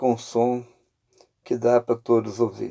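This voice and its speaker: With a dark, mellow tone at medium pitch, a man speaks at a very slow pace in a dry, close sound with no echo. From Minas Gerais, Brazil (Viçosa). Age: 70s. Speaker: retired bus driver sharing testimony. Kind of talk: testimony. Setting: in a car, driving. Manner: casual, conversational.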